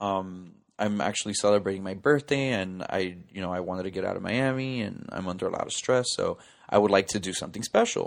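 In a very clean recording with a silent background, a man with a normal speaking voice and a fairly low pitch talks at a fairly quick pace with ordinary pitch variation. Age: 30s. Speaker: podcast host. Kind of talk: solo storytelling monologue. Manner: casual, lots of filler words.

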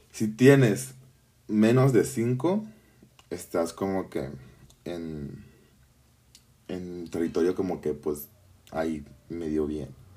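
A man's very deep, low voice in a dark, mellow tone, very slow, with long, frequent pauses. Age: 20s. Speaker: podcaster. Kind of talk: casual personal monologue. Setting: home bedroom. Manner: halting, many fillers.

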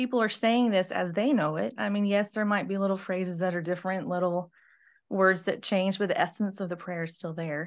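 In a quiet background, a woman with an ordinary speaking voice talks at medium pitch and a moderate pace, with ordinary pitch variation. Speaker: church administrator and pastor's wife. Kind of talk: casual chat.

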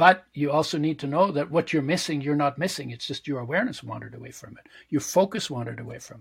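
Somewhat breathy, a man talks at a very fast pace. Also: fairly high pitch for a man, ordinary pitch variation. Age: 70s. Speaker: health and spirituality author. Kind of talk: interview conversation.

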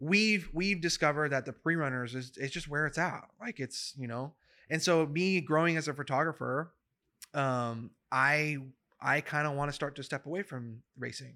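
A man with an American accent, at a fairly high pitch, with a bright, sharp tone, ordinary pitch variation, and a moderate pace, on a very clean recording with a silent background. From California, Central Valley (Madera). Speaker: off-road media videographer. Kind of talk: casual chat.

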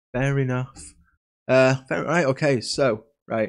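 Recorded very cleanly against a silent background, a man with an ordinary speaking voice talks fairly slowly at a medium pitch. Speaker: podcast host. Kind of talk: casual chat podcast. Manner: casual, chatty, jokey.

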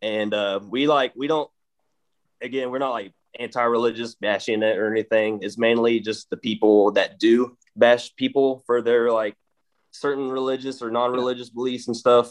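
Heard in a dry, close sound with no echo, a man with an East Texas accent speaks at medium pitch with monotone, flat intonation. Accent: East Texas drawl. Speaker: metal band member. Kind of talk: casual interview chat.

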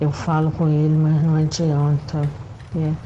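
Through audible room echo and noticeable background noise, a woman speaks very slowly in a flat monotone at a very deep, low pitch. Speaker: listener sending voice message. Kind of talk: testimony. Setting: recorded voice message.

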